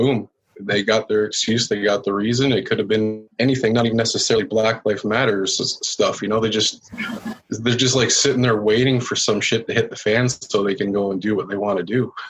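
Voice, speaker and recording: A man with a Canadian accent speaks at a fairly quick pace. His medium-pitched voice has a monotone, flat intonation. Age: 40s. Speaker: biker. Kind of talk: casual chat.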